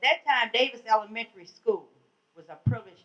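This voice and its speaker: A woman at medium pitch with an American accent and lively intonation. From Washington DC. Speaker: community advocate. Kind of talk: panel talk. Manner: loud.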